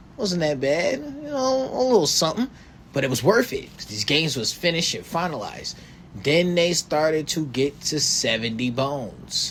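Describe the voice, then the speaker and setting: Noticeable background noise accompanies speech delivered at a moderate pace. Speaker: podcast host. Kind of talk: casual podcast monologue. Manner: animated.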